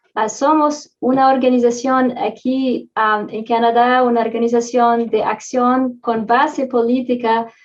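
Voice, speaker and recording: A woman's high-pitched voice with a non-native accent, fairly even intonation, a fairly slow pace and hardly any pauses. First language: not Spanish (Spanish is third language) (speaking Spanish). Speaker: social movement activist. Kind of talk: panel talk. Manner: halting, many fillers.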